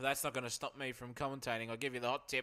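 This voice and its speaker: A man is speaking. His tone is bright and sharp. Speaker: sim racing commentator. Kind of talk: live commentary. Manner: animated.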